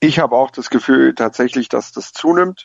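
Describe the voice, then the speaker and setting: Here is a man with a plain, everyday voice. He holds a medium pitch with ordinary pitch variation and a moderate pace. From Lake Constance area, Germany. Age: 20s. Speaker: football fan pundit. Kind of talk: casual chat.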